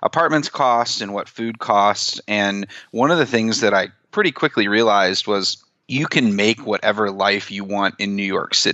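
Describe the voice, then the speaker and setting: This man has an unremarkable speaking voice, fairly low in pitch, and talks at a moderate pace. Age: 30s. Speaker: personal finance author and blogger. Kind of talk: interview.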